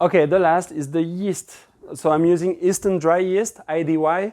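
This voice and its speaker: Against a quiet background, a man speaks with a French accent. His tone is dark and mellow. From France. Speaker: pizza instructor. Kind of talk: cooking tutorial. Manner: casual and relaxed.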